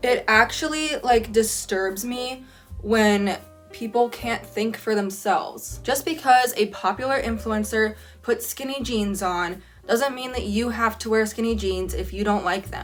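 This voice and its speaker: Music plays in the background as a woman with an American accent speaks at a fairly slow pace. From California. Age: 20s. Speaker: college student. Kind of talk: casual talk to camera.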